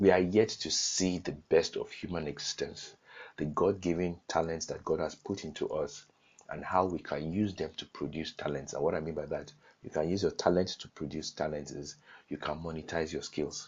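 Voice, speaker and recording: A man with a Nigerian accent, at a moderate pace. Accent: Nigerian (Yoruba) English. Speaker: online course teacher. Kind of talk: lecture.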